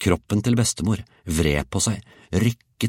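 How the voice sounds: The recording has a natural reading voice and a quiet background.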